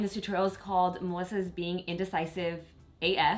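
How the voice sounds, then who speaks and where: A speaker with an American accent is heard against noticeable background noise. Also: woman. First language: Spanish. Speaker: beauty vlogger. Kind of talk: tutorial. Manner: casual, chatty.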